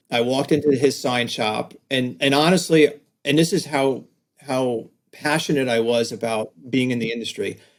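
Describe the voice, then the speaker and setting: The speaker is a man with a medium pitch and ordinary pitch variation. He talks at a moderate pace. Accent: slight New York. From New York, Staten Island. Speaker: design agency owner, author. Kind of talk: podcast interview. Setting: video call.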